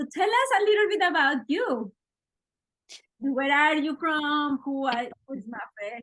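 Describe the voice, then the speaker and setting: A woman with a bright, sharp tone and high pitch speaks at a fairly slow pace, with very wide pitch swings and long, frequent pauses. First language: Spanish. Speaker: podcast host, interviewer. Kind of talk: casual interview chat.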